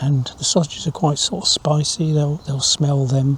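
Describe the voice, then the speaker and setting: Fairly high male voice at a moderate pace, with noticeable background noise. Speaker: wildlife photographer. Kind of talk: casual to-camera vlog. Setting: outdoors in a hide. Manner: quiet, hushed.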